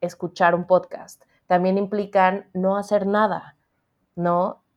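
Very slow delivery in a flat, monotone intonation. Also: woman. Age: 30s. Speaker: book editor. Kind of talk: interview conversation.

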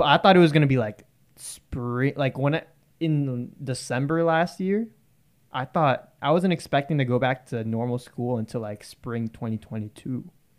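A man's medium-pitched, ordinary speaking voice, an ordinary speaking voice with ordinary pitch variation at a moderate pace, on a very clean recording with a silent background. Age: 20s. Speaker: college student podcast host. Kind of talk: casual chat.

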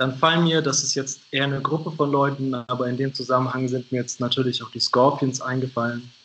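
Over noticeable background noise, a man talks at a fairly quick pace with hardly any pauses. His medium pitch holds a monotone, flat intonation. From Hannover, northern Germany. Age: 20s. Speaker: podcast guest. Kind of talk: casual interview. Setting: remote call.

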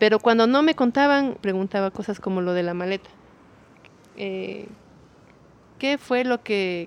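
A woman speaks at a medium pitch with ordinary pitch variation and a fairly slow pace. She takes long, frequent pauses, in a dry, close sound with no echo. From Ecuador, Quito. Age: 30s. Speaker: visual artist and cultural manager. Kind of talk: interview testimony.

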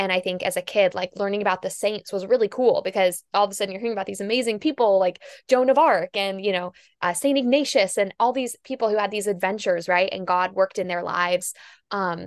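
At a fairly quick pace, a woman talks at medium pitch with ordinary pitch variation, her voice dry and close with no echo over a quiet background. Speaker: podcast host. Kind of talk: casual interview chat. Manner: loud, excitable.

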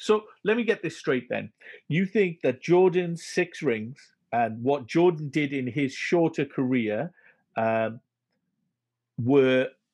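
Against a quiet background, a man with a Welsh accent speaks very slowly in a fairly high pitch with lively intonation. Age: 40. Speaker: podcast host. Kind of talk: casual interview.

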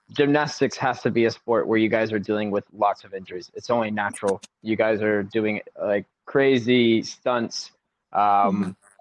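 A man with a plain, everyday voice speaks at a moderate pace in a fairly low pitch with fairly even intonation, the sound dry and close with no echo. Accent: American. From US South, South Carolina. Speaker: podcast host. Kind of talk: interview.

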